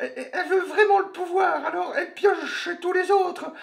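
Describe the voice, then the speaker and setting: A man speaks at a moderate pace in a put-on character voice. His pitch is extremely high. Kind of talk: parody of TV punditry. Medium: fan dub. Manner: hesitant, full of fillers, sarcastic.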